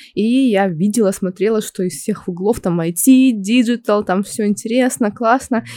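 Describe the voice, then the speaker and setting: A woman talks at a moderate pace in a medium pitch with lively intonation. She has an ordinary speaking voice. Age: 20s. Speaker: project manager and instructor. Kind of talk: casual chat.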